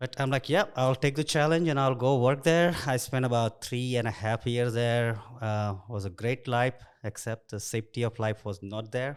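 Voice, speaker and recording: A man with an Indian accent talks at a moderate pace and a medium pitch, with hardly any pauses. His pitch variation is ordinary. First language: Indian language. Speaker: construction executive. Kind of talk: interview. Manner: casual.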